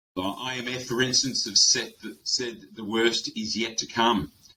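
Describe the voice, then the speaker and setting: A man with an Australian accent talks at a moderate pace. His tone is bright and sharp. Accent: thick Australian. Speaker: webinar host, insolvency firm director. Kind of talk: webinar presentation. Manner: hesitant with many fillers.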